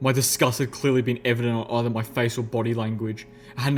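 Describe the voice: The text is given plain reading aloud, with intonation that stays fairly even.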